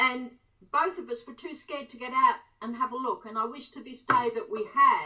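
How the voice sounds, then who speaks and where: A woman with a high pitch and a bright, sharp tone raises and projects her voice at a moderate pace, with ordinary pitch variation and big swings in loudness. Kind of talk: interview answer.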